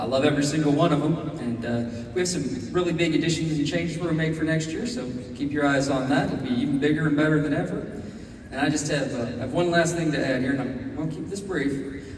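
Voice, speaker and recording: A man with an American accent and a fairly high pitch, talking very fast with ordinary pitch variation, amid noticeable background noise and audible room echo. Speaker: convention dealer's room director. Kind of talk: speech on stage. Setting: stage with audience. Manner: halting.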